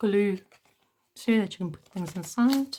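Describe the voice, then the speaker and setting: With ordinary pitch variation, a woman's voice comes through somewhat breathy. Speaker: junk journal maker. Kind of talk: casual talk to camera.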